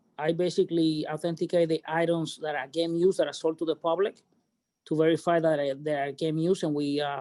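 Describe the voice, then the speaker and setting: A man with a Cuban accent talks at a fairly quick pace and a high pitch. The recording is very clean, with a silent background. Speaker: baseball memorabilia authenticator. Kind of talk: casual group chat.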